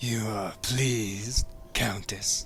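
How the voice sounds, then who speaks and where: A man's put-on character voice, soft-spoken yet shrill, at medium pitch with monotone, flat intonation. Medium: audio drama. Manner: silky, obsequious.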